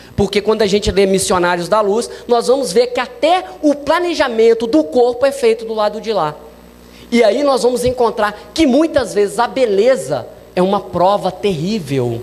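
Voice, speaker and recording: A man talks at a moderate pace with a high pitch and lively intonation. Noticeable background noise can be heard. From Minas Gerais, Brazil. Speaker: spiritist lecturer. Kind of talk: lecture.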